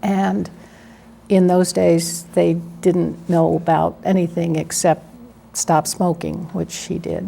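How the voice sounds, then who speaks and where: A woman with an American accent speaks at a very slow pace. Long, frequent pauses break up her speech. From US Northeast (Philadelphia, New Jersey). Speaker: lawyer. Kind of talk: oral history interview. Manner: hesitant, many fillers.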